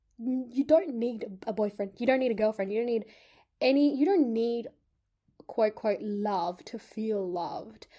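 Speaking at a moderate pace with an Australian accent, a woman uses lively intonation in a fairly high voice with a dark, mellow tone. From Sydney, Australia. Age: 20s. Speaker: podcast co-host. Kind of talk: casual chat.

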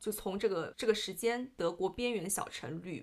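Moderately paced female speech, medium in pitch and ordinary in its pitch variation. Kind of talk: casual book discussion.

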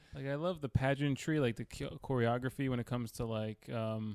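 A man in a normal speaking voice with an American accent, medium pitch, ordinary pitch variation and a fairly quick pace, in a dry, close sound with no echo on a very clean recording with a silent background. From New York, Queens. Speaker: comedian. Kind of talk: casual chat.

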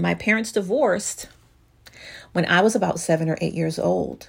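An animated tone with vocal fry at a moderate pace. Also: woman. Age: 50s. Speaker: divorce coach and podcast host. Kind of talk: solo podcast talk.

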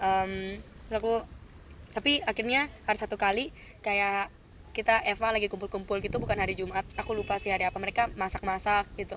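Using an unremarkable speaking voice, a woman of medium pitch talks at a fairly quick pace with fairly even intonation. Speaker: student. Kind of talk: casual chat.

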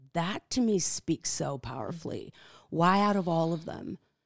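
This woman has a fairly low pitch. The recording is very clean, with a silent background. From Netherlands. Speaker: life coach. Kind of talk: testimony.

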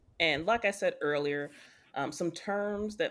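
On a very clean recording with a silent background, a woman with a plain, everyday voice talks at a fairly slow pace with ordinary pitch variation. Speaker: podcast co-host. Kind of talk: casual chat.

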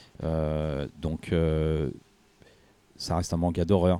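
The recording is very clean with a silent background. A man speaks in a dark, mellow tone. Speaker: returning podcast guest. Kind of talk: casual chat.

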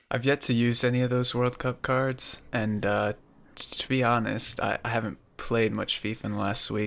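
At a moderate pace and with fairly even intonation, an ordinary speaking voice talks in an American accent. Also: man. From Pennsylvania, US. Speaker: gaming content creator. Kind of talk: casual chat.

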